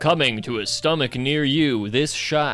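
A man uses a put-on character voice, fairly high in pitch. He speaks at a fairly slow pace over faint music in the background. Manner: dramatic, tongue-in-cheek.

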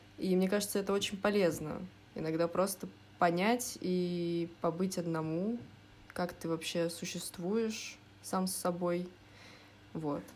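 A woman speaks very slowly in a fairly low voice, pausing long and often. Her intonation stays fairly even. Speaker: design student. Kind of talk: casual chat.

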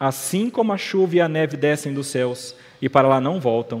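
A man's fairly high-pitched voice with a Brazilian accent at a moderate pace, set against noticeable background noise. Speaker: preacher. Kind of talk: sermon. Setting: church. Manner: earnest, expository, urgent; measured, teacherly, warm.

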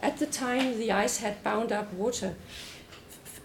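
A woman keeps her intonation fairly even while noticeable background noise carries on around her. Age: old. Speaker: anthropology professor. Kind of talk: academic lecture. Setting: lecture hall with audience.

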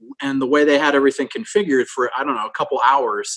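A man with an American accent and fairly high pitch. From rural Nebraska. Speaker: improv comedian and musician. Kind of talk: casual chat. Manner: animated.

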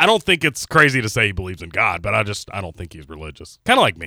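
Recorded very cleanly against a silent background with a dry, close sound and no echo, a man talks at a very fast pace with very wide pitch swings, vocal fry, and a bright, sharp tone. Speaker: radio producer and play-by-play announcer. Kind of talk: casual chat. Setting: studio. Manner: professional on-air delivery.

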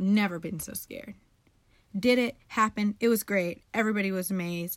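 At a moderate pace, a woman speaks at medium pitch with ordinary pitch variation. Her tone is animated. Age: 20s. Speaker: podcast host. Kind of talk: casual monologue.

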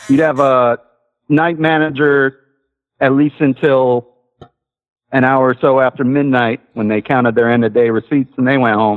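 A man with a medium pitch, a moderate pace, fairly even intonation, very even loudness and long, frequent pauses. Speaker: caller, former cook. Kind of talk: casual chat. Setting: phone call.

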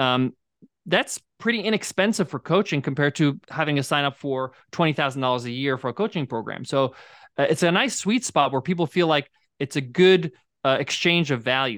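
A man with an unremarkable speaking voice and an American accent talks fairly quickly in a fairly high pitch with lively intonation. The recording is very clean with a silent background, and the sound is dry and close with no echo. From New York. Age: 40s. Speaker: podcast host and software entrepreneur. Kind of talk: interview.

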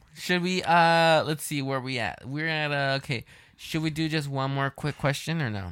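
Very clean with a silent background, the recording catches a man in a plain, everyday voice, fairly high in pitch with ordinary pitch variation. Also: moderate pace. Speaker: podcast host. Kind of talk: casual chat.

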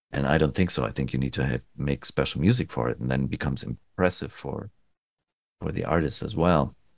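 Speaking at a fairly quick pace, a man with a very deep, low pitch shows vocal fry and ordinary pitch variation. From Germany. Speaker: recording engineer. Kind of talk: casual interview.

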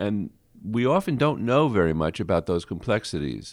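A man with an American accent speaks in a fairly low pitch on a very clean recording with a silent background. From Brooklyn, New York. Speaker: public health researcher. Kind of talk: interview. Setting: studio. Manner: halting.

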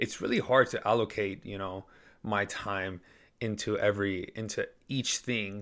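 The recording is very clean, with a silent background. A man speaks at a moderate pace in a fairly low, flat, monotone voice. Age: 20s. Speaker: fitness podcaster. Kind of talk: casual monologue.

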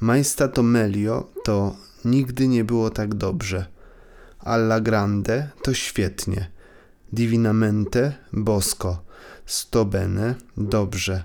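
Speaking at a very slow pace with a Polish accent, a man keeps a fairly low pitch, fairly even intonation and very even loudness. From Poland, Kraków. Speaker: co-host, language learner voice. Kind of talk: language lesson with dialogue and repetition.

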